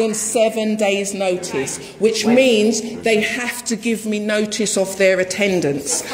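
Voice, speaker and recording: The woman's fairly high voice, with ordinary pitch variation, moves at a very slow pace with hardly any pauses over noticeable background noise. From England. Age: 40s. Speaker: resident disputing a warrant. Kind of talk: heated argument. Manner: animated. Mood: aggrieved, insistent. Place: home room. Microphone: phone near.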